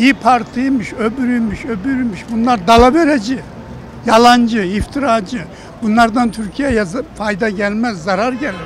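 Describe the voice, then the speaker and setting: An extremely high-pitched man talks at a moderate pace with ordinary pitch variation. Noticeable background noise runs underneath. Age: 80s+. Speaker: retiree interviewed in street poll. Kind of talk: street interview. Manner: animated.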